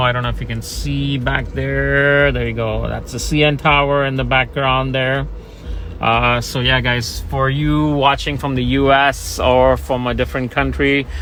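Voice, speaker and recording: This man keeps a moderate pace, while noticeable background noise and audible echo from the room surround his voice. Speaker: car salesman. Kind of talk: product walkaround tutorial.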